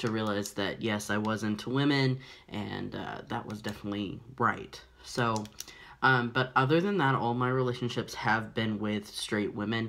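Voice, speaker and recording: The voice has a bright, sharp tone, fairly even intonation and a moderate pace. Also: man. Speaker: vlogger. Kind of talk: personal vlog storytelling. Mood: reflective, candid. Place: home room. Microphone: phone near.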